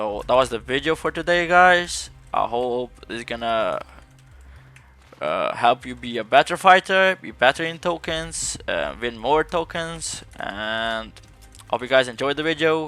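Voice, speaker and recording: A man with a non-native accent speaks at a fairly slow pace in a fairly high pitch, his lively intonation and big swings in loudness set against music in the background. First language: not English. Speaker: gaming YouTuber. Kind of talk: gameplay commentary tutorial; video outro. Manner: casual.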